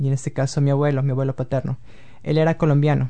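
A man with a fairly high pitch and a dark, mellow tone speaks in a monotone, flat way. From Venezuela (Caracas) to age 11, then Quito, Ecuador. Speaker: student recruitment consultant and blogger. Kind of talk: interview.

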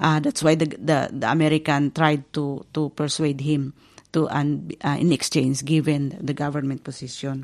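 Against a quiet background, a woman with a Filipino accent speaks in a very deep, low voice at a moderate pace with monotone, flat intonation. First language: Filipino (Tagalog). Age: 50s. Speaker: community radio host. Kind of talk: radio talk on history. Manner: halting, many fillers.

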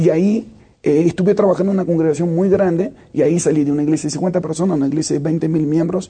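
A man's high pitch, fairly even intonation and very fast pace. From Brazil. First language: Portuguese (speaking Spanish). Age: 30s. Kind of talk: interview.

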